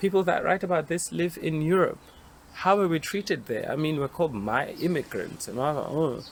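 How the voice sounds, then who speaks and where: With a South African accent, a man speaks at a moderate pace in a fairly high pitch, his intonation lively. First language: Xhosa. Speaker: occupational therapist. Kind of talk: panel discussion.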